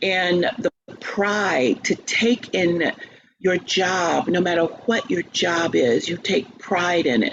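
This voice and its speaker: A woman with an American accent speaks very slowly in a fairly low voice, her intonation lively over noticeable background noise. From US South. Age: 60s. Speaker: opera singer and teacher. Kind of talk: interview.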